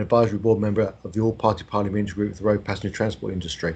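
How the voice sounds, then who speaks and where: Somewhat breathy, a man with a southern English accent talks at a very fast pace and medium pitch. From Buckinghamshire, England (London family). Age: 50s. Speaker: bus company managing director and transport enthusiast. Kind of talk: presentation. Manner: formal.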